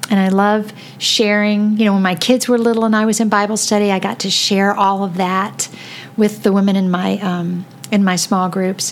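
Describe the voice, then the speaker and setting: Noticeable background noise sits behind a woman with an American accent. Her intonation is fairly even. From Florida. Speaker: podcast host. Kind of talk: casual chat. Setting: home basement studio.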